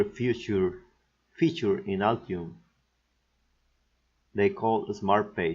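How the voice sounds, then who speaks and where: A man with a Mexican accent, medium pitch, lively intonation and a very slow pace. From Mexico. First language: Spanish. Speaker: PCB design instructor. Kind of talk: software tutorial narration.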